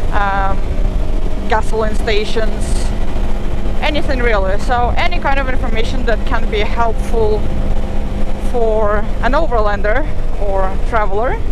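The pace is fairly slow, with long, frequent pauses. The sound is dry with no echo, but loud background noise is present. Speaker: motorcycle travel vlogger. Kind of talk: casual vlog chat. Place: motorbike.

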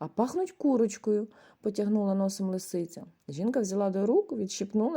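A natural voice reads the text, with pitch shifting by a usual amount.

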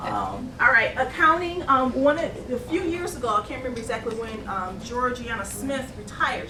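Against noticeable background noise and audible room echo, a woman speaks in a high pitch with lively intonation. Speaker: city finance and budget director. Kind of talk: budget presentation at council meeting. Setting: city council meeting. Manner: fast; hesitant, many fillers.

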